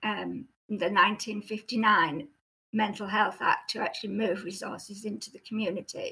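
A woman's bright, sharp, fairly high voice at a moderate pace with ordinary pitch variation. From Cumbria, northern England. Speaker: former clinical psychologist and novelist. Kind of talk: casual interview conversation. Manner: halting, hesitant with fillers.

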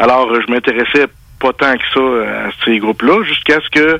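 A man with an unremarkable speaking voice of medium pitch talks at a moderate pace with fairly even intonation, in a dry, close sound with no echo. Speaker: fishing writer. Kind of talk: interview. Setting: phone call.

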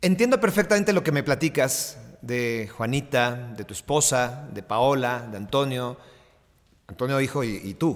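An ordinary speaking voice, this man talks at a fairly slow pace and medium pitch with lively intonation and big swings in loudness. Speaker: podcast host and sports journalist. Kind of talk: interview.

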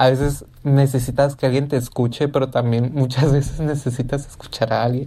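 A woman talks at a moderate pace with hardly any pauses, in a very deep, low voice with a dark, mellow tone. Her intonation is monotone and flat, and her loudness stays very even. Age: 20s. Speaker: podcast host. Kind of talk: intimate solo podcast monologue.

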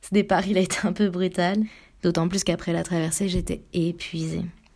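This woman has a fairly low pitch and speaks at a moderate pace. Her intonation is monotone and flat. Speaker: sailing crew member and podcast producer. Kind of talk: audio diary on board. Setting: on a sailboat at sea.

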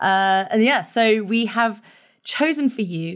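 A woman speaks at a medium pitch in a plain, everyday voice. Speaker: podcast host and reporter. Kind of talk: casual interview.

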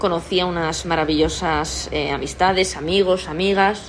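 A woman speaks at a fairly slow pace. Room echo is audible, and there is noticeable background noise. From Spain, Toledo province. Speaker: podcast host, sports professional. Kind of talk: casual monologue. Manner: halting, many repetitions.

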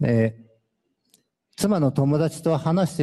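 A man talks in a dark, mellow tone with pitch that varies in an ordinary way. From Japan, Fukuoka. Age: 50s. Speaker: former prisoner giving testimony. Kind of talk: testimony.

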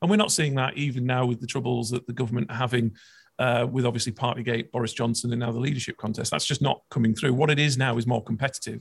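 With fairly even intonation, a man speaks at a very fast pace in a somewhat breathy voice. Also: medium pitch for a man. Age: 30s. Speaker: political commentator. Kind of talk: interview.

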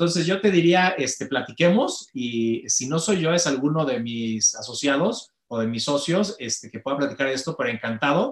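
An unremarkable speaking voice from a man, fairly high in pitch, with lively intonation. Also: moderate pace, hardly any pauses. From Mexico. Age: 40s. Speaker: company director and conference speaker. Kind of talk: interview conversation.

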